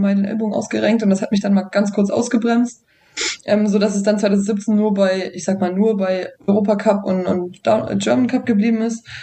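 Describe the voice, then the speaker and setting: A woman talks at a fairly quick pace with a medium pitch. Noticeable background noise runs under her voice. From Thuringia, Germany. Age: 20s. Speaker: downhill mountain bike racer. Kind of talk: casual podcast interview.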